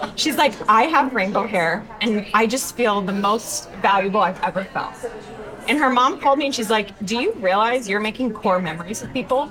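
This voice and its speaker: A woman with an American accent talks at a moderate pace and fairly high pitch, with ordinary pitch variation. Noticeable background noise can be heard. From Texas, Denton. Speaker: hairstylist and social media educator. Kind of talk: interview. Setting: live industry event.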